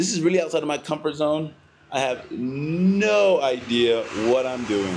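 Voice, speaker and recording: Light background noise accompanies a man whose pitch swings very widely. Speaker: travel vlogger. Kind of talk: casual vlog chat. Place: office. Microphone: lapel.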